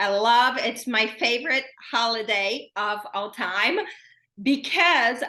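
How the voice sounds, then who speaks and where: Speaking very slowly, a woman with a Brazilian accent uses a high pitch and a bright, sharp tone. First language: Portuguese. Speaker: self-care podcast host. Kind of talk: casual solo podcast talk. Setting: recording at home.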